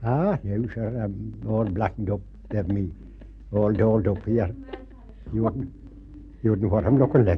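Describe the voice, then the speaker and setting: Noticeable background noise sits behind a man with a Northern Irish accent and a fairly low pitch. He moves at a moderate pace with long, frequent pauses. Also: ordinary pitch variation. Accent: Fermanagh Irish. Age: 70s. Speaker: folk play performer. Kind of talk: interview.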